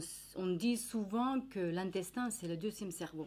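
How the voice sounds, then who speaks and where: With a medium pitch and lively intonation, a woman speaks at a very slow pace. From Finland. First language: Finnish (speaking French). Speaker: nutritionist. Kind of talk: educational talk. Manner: halting, many hesitations.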